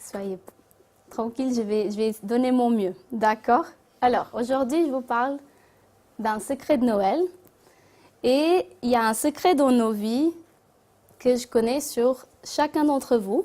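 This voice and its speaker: A woman with a non-native accent speaks at a very slow pace, leaving long, frequent pauses. Her voice is high-pitched with a dark, mellow tone and ordinary pitch variation. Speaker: spiritist speaker. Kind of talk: talk to an audience. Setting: Christmas gathering with audience. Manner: halting.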